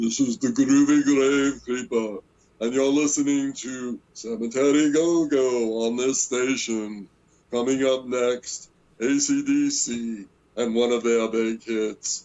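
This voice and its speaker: A fairly slow, put-on character voice from a man. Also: medium pitch for a man. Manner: spooky, radio-announcer style.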